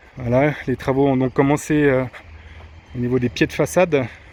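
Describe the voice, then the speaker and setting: A man with a regional French accent speaks at a moderate pace and a medium pitch. His intonation is monotone and flat, and the sound is dry and close with no echo. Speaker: vlogger renovating his house. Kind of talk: casual video tour. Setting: walking tour indoors and outdoors. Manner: halting, many hesitations (euh).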